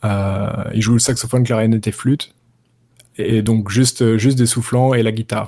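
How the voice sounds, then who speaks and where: A dark, mellow tone at a moderate pace in a monotone, flat intonation. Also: man. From France, Paris. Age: 30s. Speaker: jazz guitarist. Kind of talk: interview. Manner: hesitant, many fillers.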